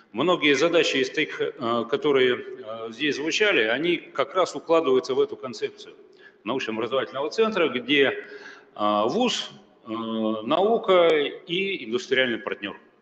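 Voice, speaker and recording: A man at a fairly slow pace, with noticeable background noise behind him. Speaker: university rector. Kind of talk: conference presentation.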